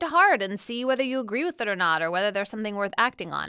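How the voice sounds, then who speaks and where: A woman speaks at a fairly high pitch with very wide pitch swings and a bright, sharp tone. The recording is very clean and silent behind her, with a dry, close sound and no echo. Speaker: political commentator and podcast co-host. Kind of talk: interview. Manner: upspeak, frequent fillers.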